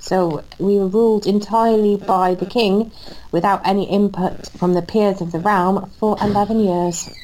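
A woman with a Welsh accent speaks at a moderate pace, her medium-pitched voice flat and monotone. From Wales. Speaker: podcast co-host. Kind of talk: casual chat.

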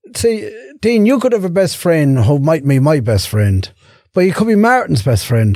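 A man's high voice with very wide pitch swings. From Ireland, Irish Traveller community (Meath). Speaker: guest, Ironman athlete and charity fundraiser. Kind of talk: casual interview.

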